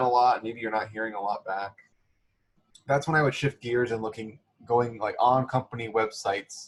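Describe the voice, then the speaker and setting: Somewhat breathy, a man speaks at a medium pitch and a fairly quick pace. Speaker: career center staff presenter. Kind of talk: online workshop presentation. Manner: fast; casual, filler-heavy.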